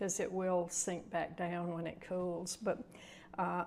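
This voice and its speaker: A woman with a Southern US accent speaks at a fairly slow pace. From Mississippi. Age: 80s+. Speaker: retiree craft and cooking vlogger. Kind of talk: tutorial. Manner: casual, chatty.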